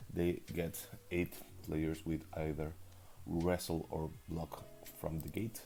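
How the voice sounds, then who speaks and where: A man's very deep, low voice with a dark, mellow tone, a non-native accent, monotone, flat intonation, a very slow pace and long, frequent pauses. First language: not English. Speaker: league recap commentator. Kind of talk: casual game preview commentary. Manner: hesitant, with fillers.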